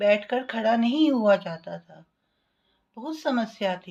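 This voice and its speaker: A woman's fairly high-pitched, somewhat breathy voice with ordinary pitch variation. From Delhi, India. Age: 60s. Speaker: retired teacher giving patient testimonial. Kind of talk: testimony.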